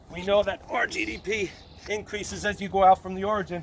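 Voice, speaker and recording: A man's high-pitched voice with fairly even intonation, amid noticeable background noise. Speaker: economics teacher. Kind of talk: lecture.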